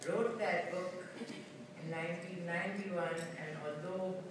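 A man's high-pitched voice amid noticeable background noise and strong room echo. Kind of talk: acceptance speech. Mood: grateful, earnest. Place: hall. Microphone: pa.

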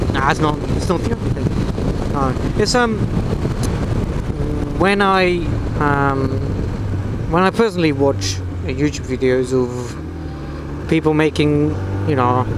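A man talks at a fairly slow pace, with long, frequent pauses. The sound is dry with no echo, and background noise is noticeable. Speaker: motorcycle rider vlogger. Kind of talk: casual vlog chat. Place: motorbike. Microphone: lapel.

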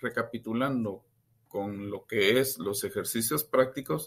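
A man is talking here. His pace is very slow. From Guatemala. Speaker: university student. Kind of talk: class presentation. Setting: video call.

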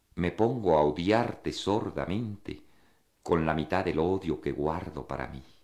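A man speaks at a fairly slow pace in a very deep, low pitch with vocal fry. His pitch varies in an ordinary way. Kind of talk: poem reading, intimate, read aloud. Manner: slow, measured, contemplative, wistful.

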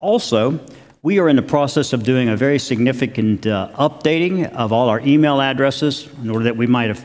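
This man speaks at a fairly quick pace. His pitch variation is ordinary. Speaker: chapel minister. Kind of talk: church announcements. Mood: warm, welcoming. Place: church.

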